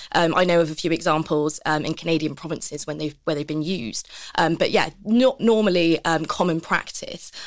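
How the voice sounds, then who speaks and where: A woman speaks quickly with hardly any pauses in a normal speaking voice, her fairly low pitch moving with ordinary variation. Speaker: policy researcher. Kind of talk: panel discussion.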